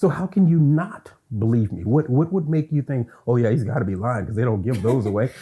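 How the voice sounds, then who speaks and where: A man with an American accent speaks at a fairly quick pace, his pitch medium and his tone dark and mellow. His intonation is lively, and his voice is somewhat breathy. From US South, Louisiana. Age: 60s. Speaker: university lecturer. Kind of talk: interview.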